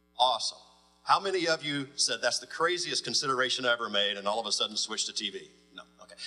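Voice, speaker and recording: Music plays in the background while a man talks at a very fast pace. His pitch swings very widely. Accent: American. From US South. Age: 40s. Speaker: radio executive. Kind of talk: panel talk.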